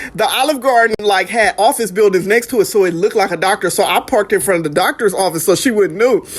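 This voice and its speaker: A woman with a medium-pitched, animated voice rushes along at a very fast pace with hardly any pauses, very even loudness and ordinary pitch variation, over noticeable background noise. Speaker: vlogger remembering late grandparents. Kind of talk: casual storytelling vlog.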